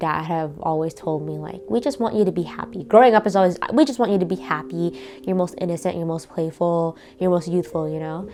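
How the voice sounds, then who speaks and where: Over noticeable background noise, a woman speaks at a fairly quick pace, her fairly low pitch set with lively intonation. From US, Vietnamese-American family. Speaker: interviewee, daughter of immigrants. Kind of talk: interview.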